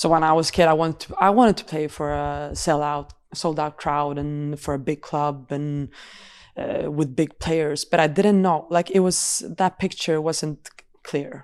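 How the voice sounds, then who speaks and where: In a Swedish accent, a woman with a very deep, low voice speaks at a moderate pace with fairly even intonation, in a very clean recording with a silent background. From Sweden. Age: 20s. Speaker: professional football goalkeeper. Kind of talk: podcast interview. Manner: halting, repeats words.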